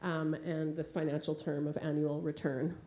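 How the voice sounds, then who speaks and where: A woman speaks with a Canadian accent. Room echo is audible. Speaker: artist and curator. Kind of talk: keynote talk with slides. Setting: theatre stage with audience. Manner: fast; hesitant, many fillers.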